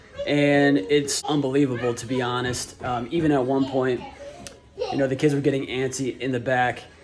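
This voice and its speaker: Over noticeable background noise, a man at medium pitch talks in a flat monotone at a moderate pace. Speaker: family vlogger. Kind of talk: casual vlog. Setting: in a car.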